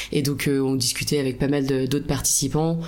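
A woman speaks in a very deep, low pitch. Noticeable background noise and audible room echo surround her. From France, La Rochelle. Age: 30s. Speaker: hiker sharing a travel story. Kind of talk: casual interview.

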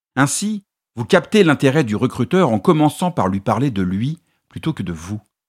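A man at medium pitch swings very widely in pitch at a moderate pace, in a very clean, dry, close recording with a silent background and no echo. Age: 50s. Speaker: podcast host and communication consultant. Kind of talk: solo podcast monologue giving advice. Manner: clear, structured delivery.

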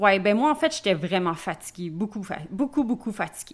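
The recording of a woman's voice is very clean, with a silent background. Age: 30s. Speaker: life coach and entrepreneur. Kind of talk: interview. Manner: casual.

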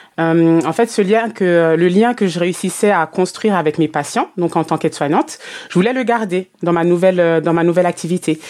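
With ordinary pitch variation, a woman speaks at a fairly quick pace in a fairly low voice. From Martinique. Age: 30s. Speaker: customer journey consultant, business mentor. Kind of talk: interview. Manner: hesitant, many fillers.

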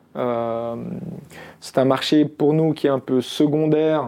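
At a very slow pace, a man speaks at medium pitch with a dark, mellow tone. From Algeria (Constantine). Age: 40s. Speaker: tech entrepreneur. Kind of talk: interview.

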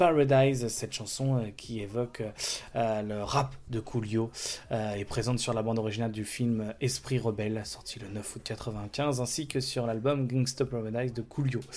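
Speaking in a French accent at a moderate pace, a man uses a medium pitch and fairly even intonation. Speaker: radio host. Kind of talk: radio music show presentation. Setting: radio studio. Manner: hesitant, with filler words.

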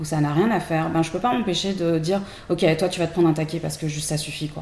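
Audible room echo carries a woman's fairly low pitch with ordinary variation. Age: 40s. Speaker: tarot deck creator. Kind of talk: casual chat. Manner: hesitant, many fillers.

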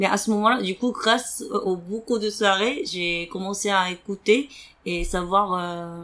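This woman's pitch is medium. It varies in an ordinary way. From South Korea. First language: Korean (speaking French). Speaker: podcast guest sharing personal story. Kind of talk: interview testimony. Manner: halting with many fillers.

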